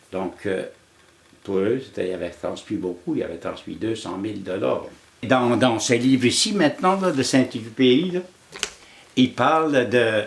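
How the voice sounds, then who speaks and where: Long, frequent pauses and very wide pitch swings mark this speech, heard over noticeable background noise. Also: man, medium pitch for a man, fairly slow pace. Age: 80s+. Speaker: elder sharing life lessons. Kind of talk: storytelling interview. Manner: halting, with frequent repetitions.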